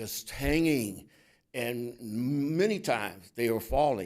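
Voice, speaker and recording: A man at a medium pitch and a very slow pace, with audible room echo. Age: 70s. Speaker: resident giving public comment. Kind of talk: public comment at council meeting. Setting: council chambers. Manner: halting.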